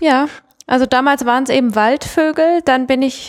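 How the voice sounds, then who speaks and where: A woman with a high pitch and fairly even intonation. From Mannheim, Germany. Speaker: conservation project manager. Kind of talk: podcast interview.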